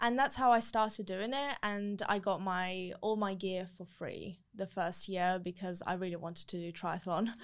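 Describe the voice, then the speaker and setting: A woman's unremarkable speaking voice, medium in pitch, at a moderate pace with fairly even intonation and hardly any pauses. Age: 20s. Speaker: triathlete and sport influencer. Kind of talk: casual chat.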